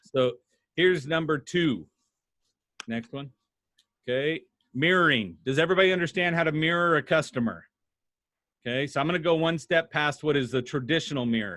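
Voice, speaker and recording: A man's fairly high voice at a fairly quick pace, with ordinary pitch variation and long, frequent pauses. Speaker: sales trainer. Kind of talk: workshop presentation. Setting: video call. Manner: fast; animated.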